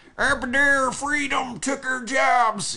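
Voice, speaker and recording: A put-on character voice, high in pitch, delivered fairly slowly. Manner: ranting, complaining.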